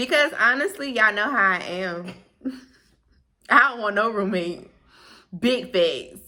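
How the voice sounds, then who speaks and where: A woman speaks at a fairly slow pace. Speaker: YouTuber. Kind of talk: casual chat. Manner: loud.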